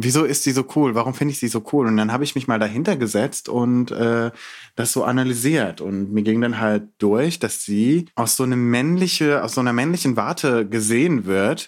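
A very clean recording with a silent background, ordinary pitch variation and very even loudness. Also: man. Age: 20s. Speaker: poet and theatre scholar. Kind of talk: casual interview.

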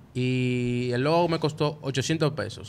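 This voice has a Dominican accent and ordinary pitch variation. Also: man. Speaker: podcast co-host, multimedia student. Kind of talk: casual chat. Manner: animated.

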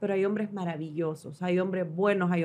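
A woman speaks at a moderate pace in a normal speaking voice. Her pitch varies in an ordinary way. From Honduras (Danlí). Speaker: TV host. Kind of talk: casual chat. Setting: studio.

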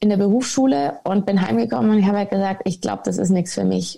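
A woman's voice at a medium pitch, with a dark, mellow tone. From Munich, Bavaria. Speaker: former professional golfer. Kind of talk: podcast interview.

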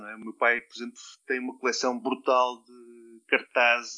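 A man with a European Portuguese accent. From Portugal (Mozambique, Alentejo, Algarve). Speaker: designer and university lecturer. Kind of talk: interview. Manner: halting, many repetitions and fillers.

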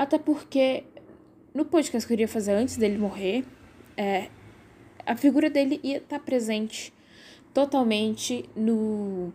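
A woman speaks at a fairly slow pace, leaving long, frequent pauses. Her fairly high voice has a dark, mellow tone and ordinary pitch variation. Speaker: podcast host. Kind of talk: casual monologue. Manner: animated.

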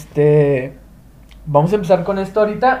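A man's voice sits at a high pitch with a dark, mellow tone. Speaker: podcast host. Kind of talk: casual chat.

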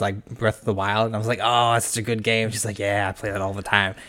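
Noticeable background noise sits behind a man talking very fast at a medium pitch. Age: 20s. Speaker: podcast host, health sciences student. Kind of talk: casual chat. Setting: studio. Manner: laughs a lot.

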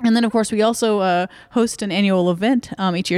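A woman talks at a very fast pace. The recording is very clean with a silent background, and the sound is dry and close with no echo. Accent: Texan. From Dallas-Fort Worth, Texas. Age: young. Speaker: ghost tour guide. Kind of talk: casual interview.

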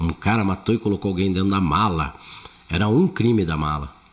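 A man's fairly low voice at a moderate pace, an ordinary speaking voice with ordinary pitch variation. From Brazil, São Paulo. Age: 60s. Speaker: comedian. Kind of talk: casual chat.

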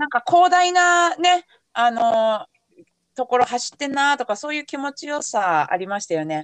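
A woman's high-pitched voice with very wide pitch swings, at a moderate pace, in a dry, close sound with no echo. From Yamanashi, Japan. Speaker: podcast host and race coach. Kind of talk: casual chat.

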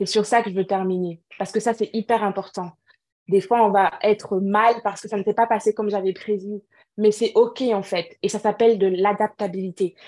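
A woman's dark, mellow voice at a moderate pace, monotone and flat in intonation, with a dry, close sound and no echo. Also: medium pitch for a woman. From Cameroon. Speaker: entrepreneur and natural hair advocate. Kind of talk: interview.

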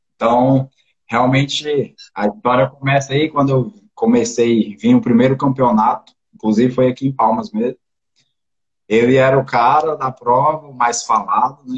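His voice is somewhat breathy. The man speaks at a moderate pace. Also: medium pitch for a man, ordinary pitch variation. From Brazil, interior of Goiás. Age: 20s. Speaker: mountain bike athlete. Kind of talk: casual interview.

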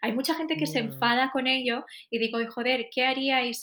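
A woman's bright, sharp voice at a fairly quick pace. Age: 20s. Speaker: podcast co-host and actress. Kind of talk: casual chat; reading aloud.

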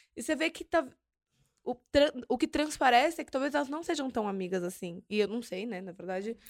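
Her pitch high and swinging very widely, a woman talks at a fairly quick pace with big swings in loudness and long, frequent pauses. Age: 20s. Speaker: podcast host. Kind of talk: casual chat.

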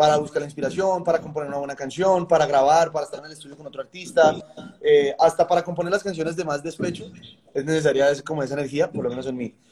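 With music in the background, a man talks at a very fast pace in a fairly high pitch, his intonation fairly even but his loudness swinging widely. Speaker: songwriter and music producer. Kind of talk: interview conversation.

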